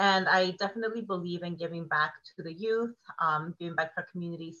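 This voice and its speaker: A woman speaks with a Californian accent. Her pace is moderate. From Oceanside, North County San Diego, California. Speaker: community organizer and educator. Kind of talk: podcast interview.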